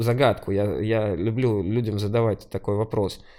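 A man's dark, mellow tone at a moderate pace, in a very clean recording with a silent background. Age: 30s. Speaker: singer-songwriter and music producer. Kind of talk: casual chat.

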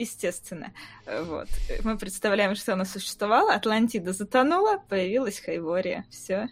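With an unremarkable speaking voice, a woman talks at a moderate pace and a medium pitch. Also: ordinary pitch variation. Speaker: invited expert on the fantasy books. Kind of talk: casual chat. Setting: video call.

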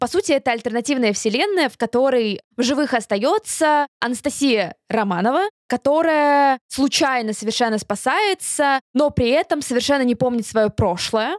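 The speaker's intonation is lively, at a moderate pace with very even loudness. The sound is dry and close, with no echo. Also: woman, high pitch for a woman. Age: 20s. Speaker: podcast co-host. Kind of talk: casual chat.

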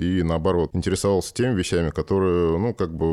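Intonation stays fairly even at a moderate pace. A dark, mellow tone colors the voice. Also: man. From Moscow, Russia. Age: 30s. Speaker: sculptor. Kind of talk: casual chat.

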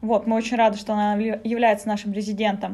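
A woman speaks with a fairly high pitch. Her tone is dark and mellow, and somewhat breathy. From Sakha (Yakutia), Russia. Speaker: manager of a youth community space. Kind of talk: interview, casual conversation. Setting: on location in a community space.

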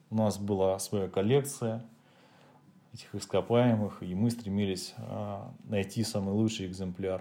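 A man's dark, mellow tone at a fairly low pitch, fairly slow pace and fairly even intonation. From Russia, Leningrad region. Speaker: host's husband. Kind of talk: casual chat.

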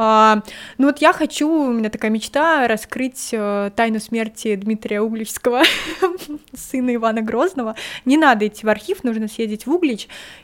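This woman speaks at a moderate pace with a fairly high pitch and ordinary pitch variation. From Smolensk region, Russia. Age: young. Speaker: history teacher and tutor. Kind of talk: casual interview chat.

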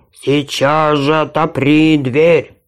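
Pitched fairly high, a man's voice is a put-on character act. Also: very clean recording, silent background. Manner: growling, threatening.

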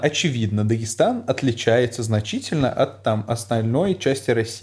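A man talks at a moderate pace in a normal speaking voice, with ordinary pitch variation. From Uzbekistan. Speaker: teacher. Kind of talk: casual chat.

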